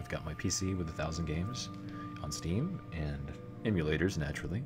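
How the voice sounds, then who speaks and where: A man whispers with music in the background. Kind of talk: ASMR live stream chat. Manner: whispered.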